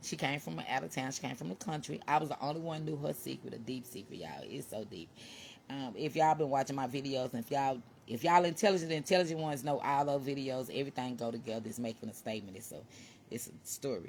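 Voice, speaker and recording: This woman talks very fast in a very deep, low register with vocal fry, lively intonation and big swings in loudness. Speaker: vlogger. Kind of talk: casual monologue. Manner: animated.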